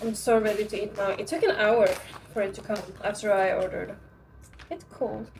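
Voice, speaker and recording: Music plays in the background as a woman with a Norwegian accent talks fairly quickly at a fairly high pitch, with ordinary pitch variation and long, frequent pauses. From Norway. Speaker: vlogger. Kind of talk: casual vlog narration.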